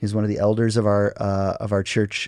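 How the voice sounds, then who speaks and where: A plain, everyday voice moves at a moderate pace, its sound dry and close with no echo over a quiet background. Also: man. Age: 40s. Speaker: pastor. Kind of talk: casual chat.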